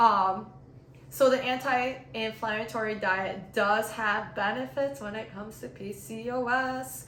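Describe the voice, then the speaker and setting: A woman speaks at a fairly high pitch and a fairly slow pace, with lively intonation and big swings in loudness. Audible room echo and noticeable background noise accompany her. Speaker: fitness YouTuber, personal trainer. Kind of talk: vlog-style health explainer. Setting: home apartment, on camera.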